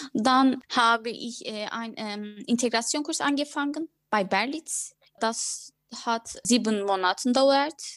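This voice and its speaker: A woman with a Turkish accent speaks at a very slow pace, her high pitch moving with ordinary variation. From Turkey (Ankara). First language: Turkish (speaking German). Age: 20s. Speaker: former lawyer, new mother. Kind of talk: interview. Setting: video call. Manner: halting, many fillers.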